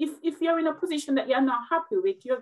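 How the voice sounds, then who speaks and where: A woman talks at a fairly quick pace with a Jamaican accent. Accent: Jamaican, described as melodic. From Jamaica, Westmoreland. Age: 40s. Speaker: nurse and motivational speaker. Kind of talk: interview conversation. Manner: direct.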